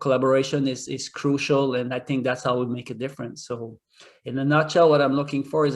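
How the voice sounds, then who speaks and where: Speaking at a fairly quick pace, a man with a French accent holds a medium pitch in a monotone, flat intonation. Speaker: hotel executive. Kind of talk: job interview. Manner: hesitant, many fillers.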